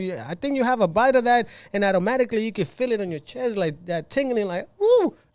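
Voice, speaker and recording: Energetic in tone, a man with a Spanish accent talks at a very fast pace with very wide pitch swings. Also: very clean recording, silent background. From Cuban-Mexican, raised in Mexico (Los Mochis). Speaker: club hypeman. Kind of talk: casual podcast interview. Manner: energetic, code-switching.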